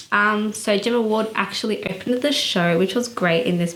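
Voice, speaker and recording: Amid noticeable background noise and audible room echo, a woman speaks at a medium pitch and a moderate pace with ordinary pitch variation. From Australia. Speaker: fashion vlogger. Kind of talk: casual vlog commentary. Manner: casual, many fillers (um, I guess, like).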